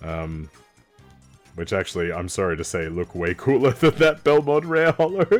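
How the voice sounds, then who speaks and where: A man talks, his pitch varying in an ordinary way. Music plays behind him. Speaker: streamer. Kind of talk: casual stream commentary, pack opening.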